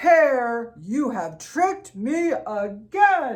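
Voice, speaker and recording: This female-sounding voice is a put-on character voice, high in pitch with very wide pitch swings. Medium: read story. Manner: slow, grumbling.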